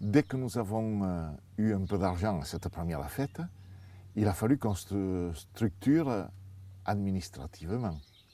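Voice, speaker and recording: A man with a southern French accent speaks at a fairly slow pace and fairly low pitch, his tone dark and mellow. His intonation is lively, with long, frequent pauses. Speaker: parents' association co-founder. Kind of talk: interview answer.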